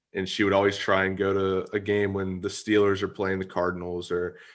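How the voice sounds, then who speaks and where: Against a quiet background, a man with an American accent and a very deep, low pitch speaks at a fairly quick pace in a monotone, flat intonation. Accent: Pittsburgh accent, comes out at times. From Pittsburgh area, western Pennsylvania. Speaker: podcast host. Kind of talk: casual interview. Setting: video call.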